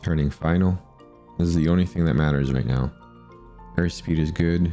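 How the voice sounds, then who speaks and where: With music in the background, a man speaks at a moderate pace in a very deep, low pitch, his intonation fairly even and his loudness very even. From Canada. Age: 40s. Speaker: student pilot. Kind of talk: recorded voice-over narration of flight footage. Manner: calm, reflective internal monologue.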